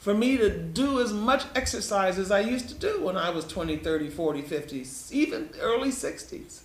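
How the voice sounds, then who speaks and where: Delivered at a moderate pace in an American accent, the speech has very wide pitch swings, with audible room echo and noticeable background noise. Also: man. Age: 70s. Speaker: health educator presenting to patients. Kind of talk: health lecture with slides. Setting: live stream presentation. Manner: conversational, repetitive.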